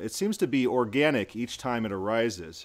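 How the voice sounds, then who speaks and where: A man with an American accent talks at a medium pitch with lively intonation, in an ordinary speaking voice. The recording is very clean, with a silent background. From US Midwest. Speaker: podcast host. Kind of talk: interview.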